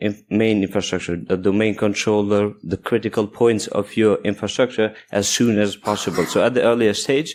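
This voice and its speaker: With a non-native accent, a man speaks at a fairly low pitch with ordinary pitch variation in a very clean recording with a silent background. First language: not English. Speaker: security engineer, conference speaker. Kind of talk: conference talk.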